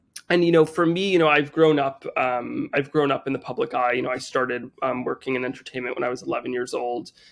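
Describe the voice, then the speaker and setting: Someone with a New Jersey accent speaks at a fairly quick pace. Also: man, fairly high pitch for a man, ordinary pitch variation. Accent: American, New Jersey. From US Northeast, Teaneck New Jersey. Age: 20s. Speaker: chef and social media creator. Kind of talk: podcast interview. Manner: casual with many fillers and repetitions.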